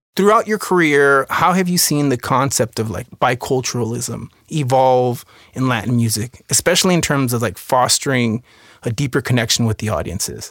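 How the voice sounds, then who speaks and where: A normal speaking voice moves at a moderate pace with lively intonation, recorded dry and close with no echo on a very clean, silent background. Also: man, medium pitch for a man. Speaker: podcast host. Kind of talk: scripted intro and interview, conversational.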